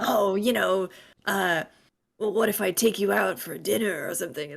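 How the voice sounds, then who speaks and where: This put-on character voice is gravelly and raspy, sitting at a middle pitch and a moderate pace. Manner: flirty, awkward.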